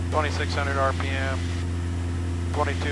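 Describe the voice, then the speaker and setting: A man in dry sound with no echo, over loud background noise. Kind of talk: in-flight commentary. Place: plane. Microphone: headset.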